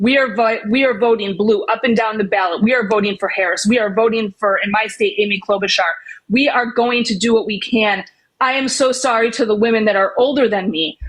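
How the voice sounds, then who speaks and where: A woman with a fairly high pitch at a fairly quick pace. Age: 40s. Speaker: debate participant, medical professional. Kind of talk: heated debate. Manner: animated.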